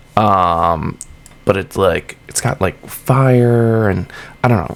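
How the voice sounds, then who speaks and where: Over noticeable background noise, a man with a Massachusetts accent talks with lively intonation. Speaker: gaming YouTuber. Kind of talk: casual gameplay commentary. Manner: casual, lots of fillers.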